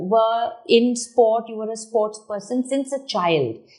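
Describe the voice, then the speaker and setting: At a fairly slow pace, a woman talks. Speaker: talk show host. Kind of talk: interview. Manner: loud; animated.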